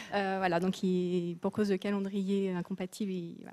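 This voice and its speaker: Soft-spoken at a moderate pace, a woman has a dark, mellow tone and a medium pitch. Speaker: textile institute representative. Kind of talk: panel discussion.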